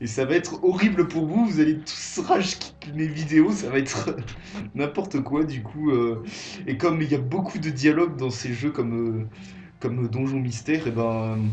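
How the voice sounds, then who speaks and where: Music plays in the background, and audible room echo surrounds a man's voice. He has a fairly high pitch and lively intonation at a moderate pace. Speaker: gaming youtuber. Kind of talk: let's play commentary. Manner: halting, many fillers.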